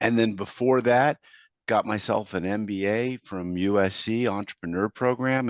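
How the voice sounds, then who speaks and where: A normal speaking voice with ordinary pitch variation, heard with a dry, close sound with no echo over a quiet background. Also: man. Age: 60s. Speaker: business consultant and coach. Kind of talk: podcast interview.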